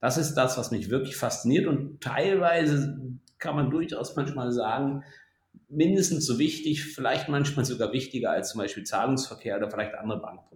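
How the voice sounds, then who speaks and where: The voice is somewhat breathy, with ordinary pitch variation, at a moderate pace. Room echo can be heard. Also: man, fairly high pitch for a man. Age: 50s. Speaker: insurance IT technologist and podcast co-host. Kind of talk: casual chat. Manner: talkative, lecturing.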